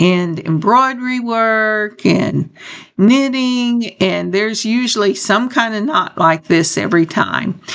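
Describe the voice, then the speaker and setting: Speaking at a very slow pace, a woman with a fairly high pitch uses lively intonation. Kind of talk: tutorial. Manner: casual.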